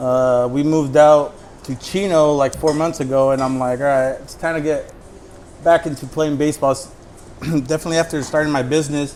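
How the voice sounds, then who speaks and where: Over music in the background, a man speaks fairly quickly in a monotone, flat delivery. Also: fairly high pitch for a man. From Southern California, Orange County. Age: 30s. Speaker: amateur baseball player and bat maker. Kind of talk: casual chat.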